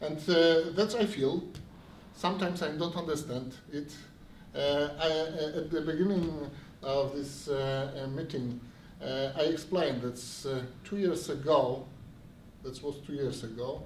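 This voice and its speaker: A man with a Polish accent, fairly slow and full of long, frequent pauses, ordinary pitch variation, audible room echo and noticeable background noise. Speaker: city official. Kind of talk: event speech. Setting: stage with audience. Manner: halting.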